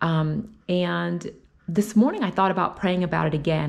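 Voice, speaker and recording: Against a quiet background, a woman with fairly low pitch speaks with vocal fry. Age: 40s. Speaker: faith vlogger; vlogger sharing faith. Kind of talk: personal vlog talk. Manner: casual, with many fillers. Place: kitchen. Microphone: phone near.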